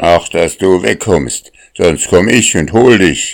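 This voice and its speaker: A man puts on a growling character voice. It sits at a very deep, low pitch and moves at a fairly slow pace. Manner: growling, threatening.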